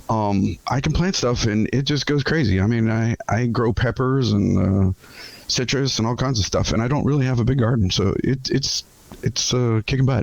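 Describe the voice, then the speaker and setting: With noticeable background noise behind him, a man speaks at a moderate pace and medium pitch, his loudness very even and his pitch variation ordinary. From US, military brat raised in many places. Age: 60s. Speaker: retired military officer and author. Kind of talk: podcast interview. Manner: halting, many fillers and restarts.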